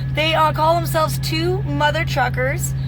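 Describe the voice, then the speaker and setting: A woman is talking. Noticeable background noise and audible room echo surround her voice. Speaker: truck driver and vlogger. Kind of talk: vlog.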